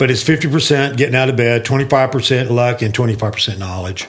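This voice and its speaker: The speech runs at a very fast pace and sounds somewhat breathy. Its pitch varies in an ordinary way. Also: man. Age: 60s. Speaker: sales leader and fitness mentor. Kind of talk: casual podcast conversation.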